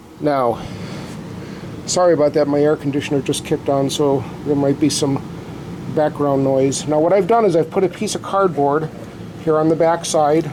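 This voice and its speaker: Fairly even intonation at a moderate pace, with long, frequent pauses and noticeable background noise. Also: man, fairly high pitch for a man. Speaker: drum repair hobbyist. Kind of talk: tutorial. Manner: loud.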